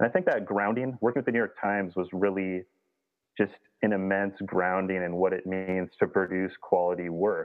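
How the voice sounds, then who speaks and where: With an American accent, a man speaks at a moderate pace in a very deep, low pitch and monotone, flat intonation. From Minnesota. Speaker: outdoor gear journalist and publisher. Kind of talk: interview.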